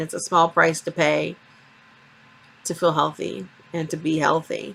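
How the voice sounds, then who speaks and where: With vocal fry and fairly low pitch, a woman speaks at a moderate pace with ordinary pitch variation. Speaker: vlogger. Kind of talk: vlog. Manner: hesitant.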